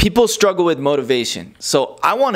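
Quiet background behind a man's speech. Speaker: fitness trainer. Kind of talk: casual vlog tutorial. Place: kitchen. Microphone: lapel.

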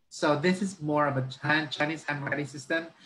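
The speaker talks at a fairly quick pace with fairly even intonation, in a Filipino accent. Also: man. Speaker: education consultant. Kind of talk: lecture. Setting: video call. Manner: halting.

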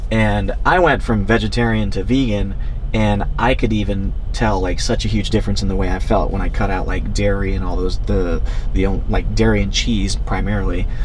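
Noticeable background noise sits under speech at a moderate pace and very even loudness. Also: man. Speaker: fitness vlogger. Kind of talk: casual vlog chat. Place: car.

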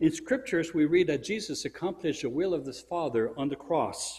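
A man speaks in a somewhat breathy voice. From Europe. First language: French. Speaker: church speaker; speaker. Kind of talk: sermon-style religious presentation; lecture. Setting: church. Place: church.

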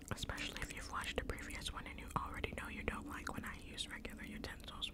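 Whispering at a very fast pace, with noticeable background noise. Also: woman. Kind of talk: ASMR mukbang eating video, casual talk to camera. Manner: whispered, soft-spoken.

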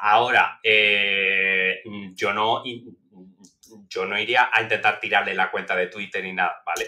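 Against a quiet background, a man talks at a fairly slow pace in a fairly low pitch with monotone, flat intonation. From Spain. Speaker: political scientist; podcast guest. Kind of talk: interview. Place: home room. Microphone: headset.

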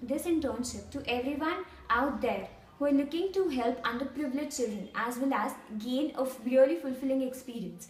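A high-pitched woman's voice with an Indian accent and audible room echo. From India, New Delhi. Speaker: intern. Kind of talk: testimony. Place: office. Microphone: camera far.

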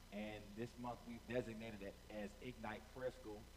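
Monotone, flat delivery at a moderate pace over noticeable background noise. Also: man. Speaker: pastor. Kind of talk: sermon opening, direct address to online viewers. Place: stage. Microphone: headset.

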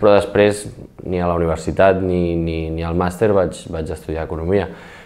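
In a very deep, low voice, a man talks at a moderate pace with ordinary pitch variation. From Barcelona, Catalonia. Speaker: secondary school teacher. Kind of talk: interview. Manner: halting. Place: studio.

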